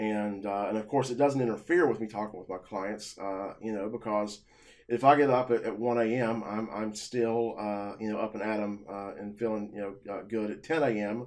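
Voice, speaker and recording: A man at a fairly low pitch, with fairly even intonation and hardly any pauses. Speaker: self-employed vlogger. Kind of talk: personal monologue to camera. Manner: fast; halting, many filler words.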